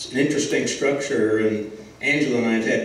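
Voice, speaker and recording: Audible room echo and light background noise accompany a man talking at a fairly quick pace. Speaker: guest lecturer. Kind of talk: lecture. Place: hall.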